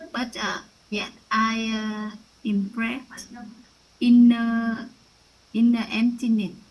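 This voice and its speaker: Speaking very slowly with long, frequent pauses, a woman with a Vietnamese accent uses a fairly high, somewhat breathy voice in a monotone, flat intonation. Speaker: student. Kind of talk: class sharing. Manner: halting.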